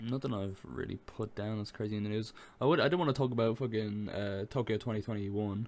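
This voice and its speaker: With an Irish accent, a man talks at a very fast pace. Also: fairly low pitch for a man, ordinary pitch variation. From Ireland. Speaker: gaming podcast co-host. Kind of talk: casual chat.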